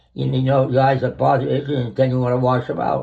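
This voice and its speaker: A man's dark, mellow, somewhat breathy voice. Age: 80s+. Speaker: retired grandfather. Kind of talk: casual talk, explaining his routine.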